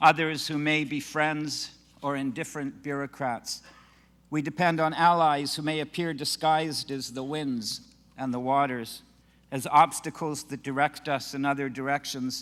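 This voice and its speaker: On a very clean recording with a silent background, a man with a fairly high voice speaks at a moderate pace with monotone, flat intonation. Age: 60s. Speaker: scholar and rabbi. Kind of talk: prepared speech.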